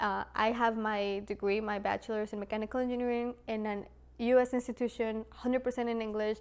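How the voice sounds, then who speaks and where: Talking at a fairly quick pace with a Spanish accent, a woman has a fairly high pitch and a monotone, flat intonation. The recording is very clean, with a silent background. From Latin America, Spanish-speaking; moved to US at 12. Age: 20s. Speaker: mechanical engineer, video creator. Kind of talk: casual vlog talk to camera.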